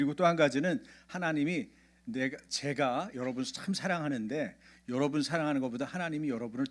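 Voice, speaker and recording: On a very clean recording with a silent background, a man speaks at a fairly quick pace. His fairly high pitch carries lively intonation. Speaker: pastor. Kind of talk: sermon. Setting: church. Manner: childlike simple intonation for kids; interactive, questions to congregation.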